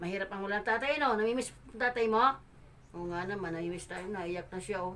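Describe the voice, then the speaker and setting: Noticeable background noise sits behind a voice moving at a fairly quick pace. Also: woman. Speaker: charity vlogger. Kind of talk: on-location interview. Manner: loud. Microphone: no microphone yet.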